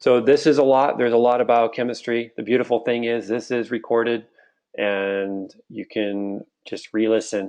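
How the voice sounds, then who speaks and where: A man with a normal speaking voice talks at a medium pitch and moderate pace over a quiet background. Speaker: online health educator. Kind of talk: live webinar lecture.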